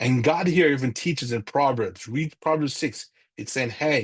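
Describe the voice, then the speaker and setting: A man speaks at medium pitch with ordinary pitch variation. His voice is somewhat breathy, and the background is quiet. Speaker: church finance class teacher. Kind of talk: lecture. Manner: fast; halting.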